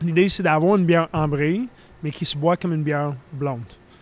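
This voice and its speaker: A man talks in a normal speaking voice, pitched fairly high. His intonation stays fairly even at a fairly quick pace. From Philadelphia, US. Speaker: brewer. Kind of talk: casual chat.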